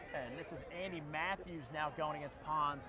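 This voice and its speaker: The speaker has an American accent and a moderate pace. Noticeable background noise runs through the clip. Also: man. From Philadelphia, US. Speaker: lacrosse play-by-play commentator. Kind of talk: live sports commentary.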